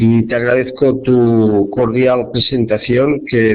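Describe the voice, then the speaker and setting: At a very slow pace, a man of medium pitch speaks with fairly even intonation amid audible room echo. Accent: Catalan. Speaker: professor and social epidemiologist. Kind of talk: lecture. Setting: web conference. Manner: slow, deliberate.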